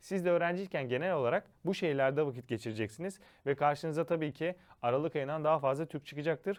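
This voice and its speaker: Talking very fast, a man with a fairly high pitch uses ordinary pitch variation. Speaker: study-abroad education consultant. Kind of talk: informational monologue.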